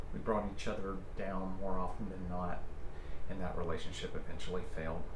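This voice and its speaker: Monotone, flat speech from a man with a very deep, low pitch, at a fairly quick pace over noticeable background noise. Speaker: ASMR creator. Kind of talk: soft-spoken ASMR personal ramble. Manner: soft-spoken, gentle, reflective.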